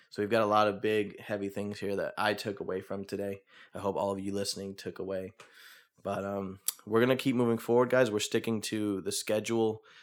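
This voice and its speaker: A man with a fairly low pitch speaks at a fairly quick pace in a monotone, flat intonation on a very clean recording with a silent background. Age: 20s. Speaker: podcast host. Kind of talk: casual interview chat.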